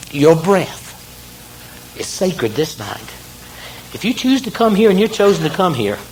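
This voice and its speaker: With a Southern US accent, a man speaks at a high pitch and moderate pace, his intonation lively and broken by long, frequent pauses, against audible room echo and noticeable background noise. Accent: Southern American. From US South, South Carolina. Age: 50s. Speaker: near-death experience speaker. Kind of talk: motivational talk. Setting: stage with audience. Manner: animated.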